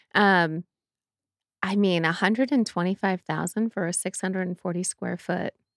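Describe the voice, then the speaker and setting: A plain, everyday voice at a moderate pace, with fairly even intonation and a dry, close sound free of echo. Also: woman, medium pitch for a woman. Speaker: podcast co-host. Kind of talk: casual chat.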